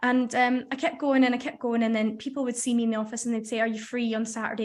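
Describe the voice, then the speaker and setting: A woman with a Scottish accent talks at a very fast pace in a fairly high, monotone, flat voice. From Scotland. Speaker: radio researcher, former apprentice. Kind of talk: casual interview.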